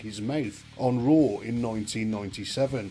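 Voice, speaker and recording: A man talks at a moderate pace. Music plays behind him, and his pitch varies in an ordinary way. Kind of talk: documentary-style countdown narration.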